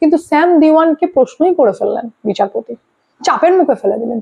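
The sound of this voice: The woman's intonation is lively as she talks.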